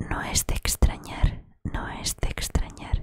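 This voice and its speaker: The speaker, a woman, talks in a whisper. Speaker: audiobook reader. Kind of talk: reading a novel aloud. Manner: soft, close-mic ASMR reading voice. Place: home room. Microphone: studio mic.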